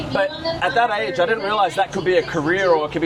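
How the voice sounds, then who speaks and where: In an Australian accent, a man talks at a very fast pace with lively intonation and a high pitch. Crowd noise fills the background. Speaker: airshow pilot. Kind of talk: interview.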